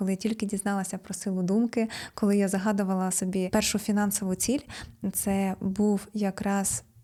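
A woman with a dark, mellow tone and monotone, flat intonation. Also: very clean recording, silent background. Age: 30s. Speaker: self-development blogger. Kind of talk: vlog monologue.

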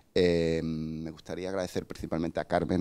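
A man talks at a fairly quick pace in a very deep, low pitch with vocal fry. His intonation stays fairly even. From Cádiz, Andalusia, Spain; Andalusia, Spain. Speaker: museum digital department head; speaker. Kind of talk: conference lecture. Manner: hesitant, many fillers and self-corrections. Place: hall. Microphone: handheld.

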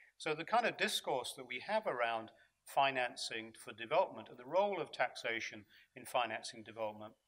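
A man at a medium pitch, fairly quick in pace, with lively intonation and a fairly bright tone

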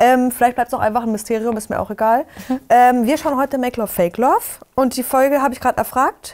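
A woman speaks very fast in an animated tone. Her pitch is high, and the background is quiet. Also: ordinary pitch variation. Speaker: YouTube reality TV commentator. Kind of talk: casual chat. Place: studio. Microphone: lapel.

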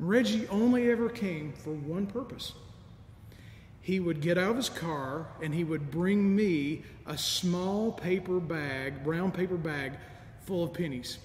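Audible room echo and light background noise surround a man's voice. He speaks at a fairly slow pace with lively intonation. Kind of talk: sermon. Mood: warm, nostalgic, gently humorous. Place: church.

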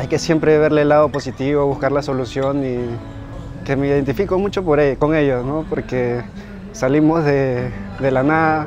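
Over clear music in the background, a man with fairly high pitch and ordinary pitch variation sounds dry with no echo. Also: moderate pace. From northern Peru, Huanchaco; Peru. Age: 20s. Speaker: professional surfer. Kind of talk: interview testimony. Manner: halting, with fillers and repetitions. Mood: calm, warm. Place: beach.

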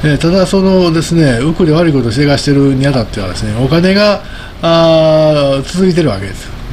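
The speaker moves at a fairly quick pace with lively intonation over light background noise. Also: man, fairly high pitch for a man. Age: 60s. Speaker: market commentator. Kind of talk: solo commentary video. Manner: casual, rambling with laughs. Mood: relaxed, often smiling. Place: home room. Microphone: studio mic.

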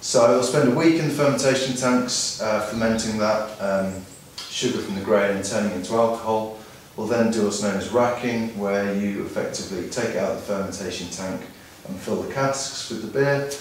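Strong room echo and light background noise surround a man speaking at a fairly quick pace with ordinary pitch variation. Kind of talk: explanatory tour talk. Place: factory.

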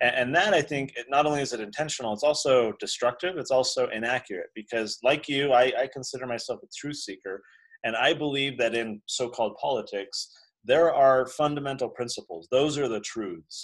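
A man speaking at a moderate pace with ordinary pitch variation, against a quiet background. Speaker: founder of a libertarian education institute and children's book author; interview guest. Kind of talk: casual interview chat. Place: office. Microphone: video call.

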